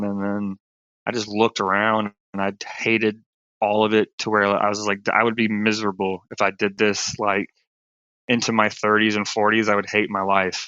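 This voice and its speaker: A man with a Southern US accent talks at a moderate pace. His fairly low voice stays monotone and flat. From rural South Carolina, US. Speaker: stand-up comedian, film crew worker, former Marine. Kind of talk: interview answer. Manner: casual.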